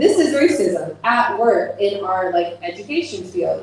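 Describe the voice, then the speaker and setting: A woman with an American accent speaks with lively intonation amid noticeable background noise and audible room echo. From United States. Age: 20s. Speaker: bookstore program coordinator. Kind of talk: casual interview conversation. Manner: animated, conversational.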